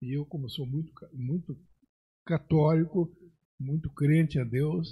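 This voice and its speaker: At a fairly slow pace, a man with a fairly high pitch speaks in a somewhat breathy voice with a dark, mellow tone and ordinary pitch variation. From Rio Grande do Sul, Brazil. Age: 70s. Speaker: agronomist and pioneer settler. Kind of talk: podcast interview.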